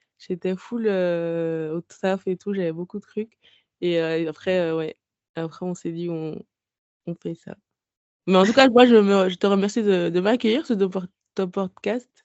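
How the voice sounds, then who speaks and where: A woman talks fairly slowly at a medium pitch with ordinary pitch variation, leaving long, frequent pauses. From Guadeloupe. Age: 30s. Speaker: book blogger and podcaster. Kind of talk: casual interview. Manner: halting, many hesitations.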